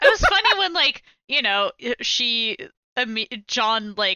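Her voice a normal speaking voice, a woman speaks at a fairly high pitch with lively intonation. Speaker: podcast co-host, game newcomer. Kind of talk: casual chat.

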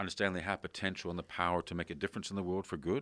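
Against a silent background in a very clean recording, a man speaks with a very deep, low pitch. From Canada. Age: 50s. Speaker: podcast host. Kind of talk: interview. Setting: in person.

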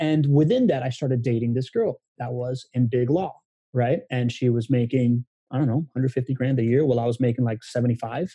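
A man speaks at a moderate pace and medium pitch with fairly even intonation. His tone is dark, mellow and somewhat breathy, and the sound is dry and close with no echo. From Miami, born in Venezuela. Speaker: guest, human connection expert. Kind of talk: casual interview conversation.

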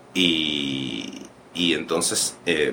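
This man speaks in a Puerto Rican accent. Noticeable background noise runs behind him. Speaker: actor and director. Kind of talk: interview. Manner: halting, many fillers and repetitions.

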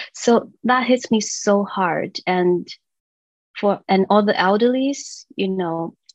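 Someone with a Chinese accent speaks at a very slow pace, in a dry, close sound with no echo. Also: woman, medium pitch for a woman, ordinary pitch variation. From China, moved to US at 15. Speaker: children's songwriter and voice teacher. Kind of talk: interview chat. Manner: halting, many fillers.

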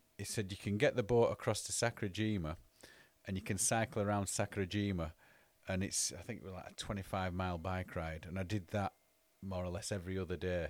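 A man with a northern English accent speaks at a very fast pace in a very deep, low pitch, his intonation fairly even, on a very clean recording with a silent background. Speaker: podcast host. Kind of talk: casual chat.

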